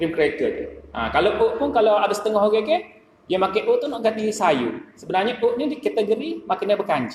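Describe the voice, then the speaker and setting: With a Kelantan accent, a man talks at a fairly quick pace in a high pitch with very wide pitch swings, over noticeable background noise. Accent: Kelantanese Malay. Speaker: dietitian. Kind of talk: mosque talk on nutrition. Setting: mosque.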